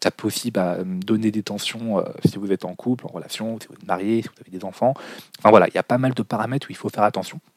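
In a dry, close sound with no echo, a man speaks very fast at a fairly low pitch with fairly even intonation. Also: big swings in loudness. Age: 20s. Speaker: business podcast host. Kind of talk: solo podcast monologue.

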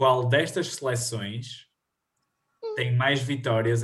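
A man's somewhat breathy voice at medium pitch, very slow in pace, with fairly even intonation. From northern Portugal, Viana do Castelo. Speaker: podcast host, university student. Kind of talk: quiz hosting. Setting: video call.

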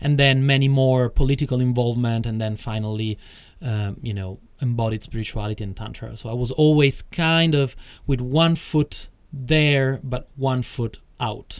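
Medium pitch and ordinary pitch variation from a man with an Italian accent, at a moderate pace, on a very clean recording with a silent background. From Italy (Rome). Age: 40s. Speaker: tantra teacher. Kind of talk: interview.

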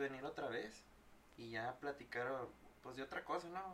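A man with a Mexican accent talks at a fairly high pitch with ordinary pitch variation. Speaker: podcast host and teacher. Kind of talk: casual chat.

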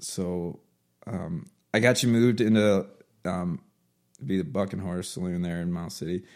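A man with an American accent speaks in a very deep, low pitch at a moderate pace, with ordinary pitch variation. He pauses long and often in a very clean recording with a silent background. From Baltimore, Maryland. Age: 30s. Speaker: country rock singer-songwriter. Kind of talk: casual chat.

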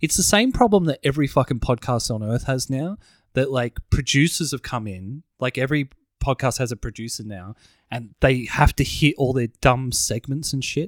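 A man with an Australian accent speaks at a medium pitch, the sound dry and close with no echo. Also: ordinary pitch variation, moderate pace. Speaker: podcast co-host. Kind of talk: casual chat.

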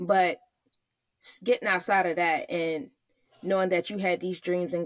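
With an American accent, a woman uses a plain, everyday voice, fairly low in pitch, with ordinary pitch variation at a moderate pace. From Virginia, US. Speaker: podcast co-host, Navy spouse, mother of three. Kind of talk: casual interview chat.

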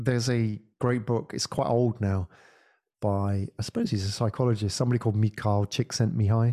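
A man at a medium pitch with a dark, mellow tone, fairly even intonation and a fairly quick pace, in a dry, close sound with no echo on a very clean recording with a silent background. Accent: British. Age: 40s. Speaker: podcast agency founder and podcaster. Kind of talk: casual interview chat.

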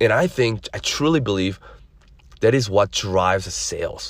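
A man talks at a moderate pace in a medium pitch, somewhat breathy, with ordinary pitch variation. The recording is very clean, with a silent background. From immigrant, grew up in the US. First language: non-English (immigrant). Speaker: podcast host, credit services entrepreneur. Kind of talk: solo podcast monologue.

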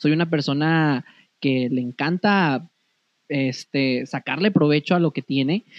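A normal speaking voice at a fairly slow pace, with ordinary pitch variation. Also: man, fairly high pitch for a man. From Comarca Lagunera, northern Mexico. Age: 30s. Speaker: modeling academy owner. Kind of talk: casual interview.

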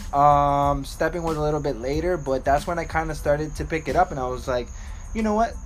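A man with an American accent, fairly high pitch, ordinary pitch variation and a fairly quick pace, amid noticeable background noise. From Miami, Florida. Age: 20s. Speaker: dance community organizer, medical worker. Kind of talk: casual interview.

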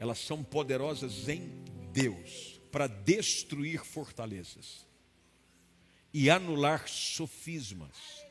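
A man with a fairly high voice speaks over music in the background. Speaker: preacher. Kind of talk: sermon. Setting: church with live congregation. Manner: earnest, fervent preaching tone, rising to a declarative, commanding cadence in prayer; direct and explanatory, addressing the listener as 'you'.

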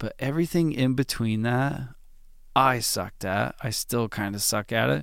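A man's medium-pitched voice with lively intonation at a moderate pace, on a very clean recording with a silent background. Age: 30s. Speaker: drummer. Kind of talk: casual monologue. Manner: relaxed, late-night with yawns.

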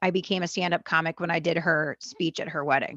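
A woman's bright, sharp tone at a moderate pace, dry and close with no echo, over a quiet background. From US, Los Angeles area (born in Argentina). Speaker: stand-up comedian and singer-songwriter. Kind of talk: casual interview chat. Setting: video call.

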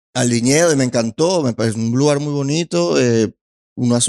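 With a Venezuelan accent, a man talks at medium pitch and a moderate pace in a dry, close sound with no echo. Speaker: stand-up comedian. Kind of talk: casual chat. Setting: studio.

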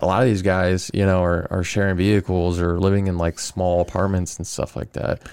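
A man with a very deep, low pitch and an American accent, fairly quick and with hardly any pauses, his intonation fairly even. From Arizona, Glendale area. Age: 30s. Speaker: sheriff's deputy and skateboarder, army veteran. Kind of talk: casual interview chat.

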